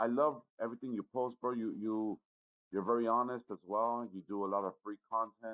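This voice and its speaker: A man speaks in an American accent at a fairly slow pace. He has an ordinary speaking voice at medium pitch. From Los Angeles. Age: 40s. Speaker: sports bettor. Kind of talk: casual chat.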